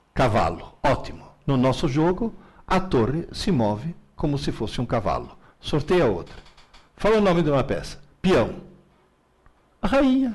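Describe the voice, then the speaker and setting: At a fairly slow pace, a man with a fairly high pitch uses vocal fry and very wide pitch swings. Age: 70s. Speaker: professor. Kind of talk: Q&A in a live stream. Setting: live stream. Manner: animated.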